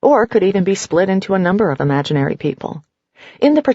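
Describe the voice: Over a quiet background comes plain reading aloud.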